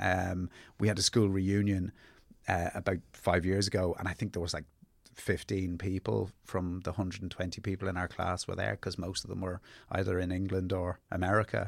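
On a very clean recording with a silent background, a man with a South Dublin accent speaks at a moderate pace in a very deep, low voice with flat, monotone intonation. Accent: south Dublin Irish. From Ireland, Dublin (Ballybrack). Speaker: novelist and playwright. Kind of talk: casual interview chat. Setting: studio.

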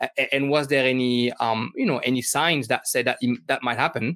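A man speaks with a French accent. His pitch is medium. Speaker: football podcast host. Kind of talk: interview. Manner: halting, many fillers.

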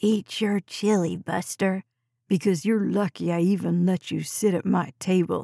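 A raspy, put-on character voice with fairly even intonation and very even loudness at a moderate pace, in a very clean recording with a silent background and a dry, close sound with no echo. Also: woman, medium pitch for a woman. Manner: mocking, imitating.

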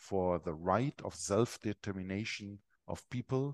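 Speaking in a German accent at a fairly slow pace with ordinary pitch variation, the voice sounds dry and close with no echo against a quiet background. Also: man. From Germany. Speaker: Benedictine abbot. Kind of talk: interview conversation. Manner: halting, hesitant with fillers.

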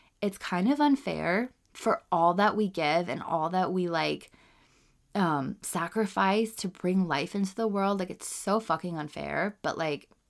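A woman with a normal speaking voice and fairly low pitch talks at a fairly slow pace with lively intonation, in a very clean recording with a silent background. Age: 30s. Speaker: podcast host, mother. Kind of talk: casual monologue. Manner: casual, filler-heavy speech; laughs often.

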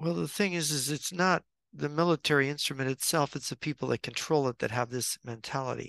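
At a fairly quick pace, a plain, everyday voice shows ordinary pitch variation. The sound is dry and close, with no echo. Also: man, fairly high pitch for a man. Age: 60s. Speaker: author and geopolitical writer. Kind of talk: interview. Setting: video call.

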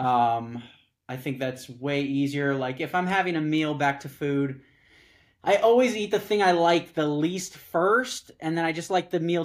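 Speaking at a moderate pace with an American accent, a man with an ordinary speaking voice and a fairly high pitch comes through on a very clean recording with a silent background. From Southern California. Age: 30s. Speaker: startup founder and former political staffer. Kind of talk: casual chat.

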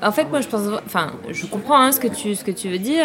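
Noticeable background noise accompanies a woman whose fairly high voice carries lively intonation. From Paris, France. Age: young. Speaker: film director. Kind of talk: casual interview. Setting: outdoor café terrace. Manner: halting.

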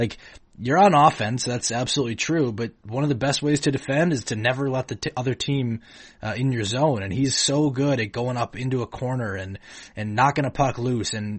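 A man's somewhat breathy voice moves along at a fairly quick pace. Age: 20s. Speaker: sports podcast host. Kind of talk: casual chat.

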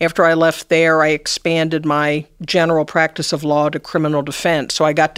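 A woman with an American accent speaks at a very deep, low pitch in a monotone, flat intonation. She goes at a fairly quick pace with hardly any pauses, and the sound is dry and close with no echo. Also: very clean recording, silent background. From US Midwest, Cincinnati, Ohio. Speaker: retired judge. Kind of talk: interview.

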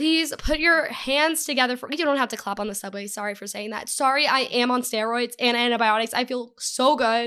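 With an American accent, a woman talks at a fairly quick pace with hardly any pauses, in a high, bright, sharp, animated tone with ordinary pitch variation and big swings in loudness. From Texas. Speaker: podcast co-host. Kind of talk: casual chat. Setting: home studio.

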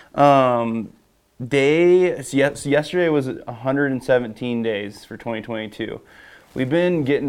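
A man's mid-range voice moves along very slowly. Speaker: fishing videographer. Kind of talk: casual chat.

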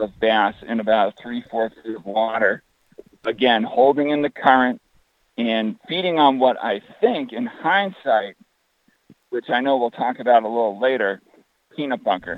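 The man has an unremarkable speaking voice at a medium pitch. He goes at a fairly slow pace with ordinary pitch variation. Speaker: fishing website founder. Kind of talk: casual interview. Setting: phone call while walking outdoors.

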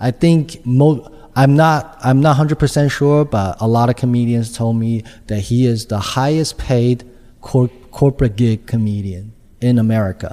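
A man speaks at medium pitch with a Chinese accent. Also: ordinary pitch variation, moderate pace. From China. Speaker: stand-up comedian. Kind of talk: interview.

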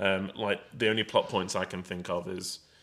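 A man with an English accent speaks in a flat monotone at a fairly low pitch and moderate pace, recorded very cleanly with a silent background. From England. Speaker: film podcast co-host. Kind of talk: casual chat. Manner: laughs often.

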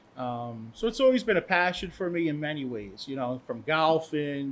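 This man has an unremarkable speaking voice, fairly high in pitch with ordinary variation. He talks at a moderate pace on a very clean recording with a silent background. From US Northeast, Long Island, New York. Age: 50s. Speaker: cigar brand owner. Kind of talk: casual chat.

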